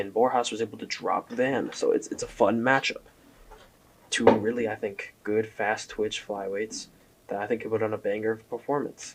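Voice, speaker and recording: Quiet, a man speaks at a moderate pace. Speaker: MMA commentary youtuber. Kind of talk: casual commentary monologue. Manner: casual, halting with fillers.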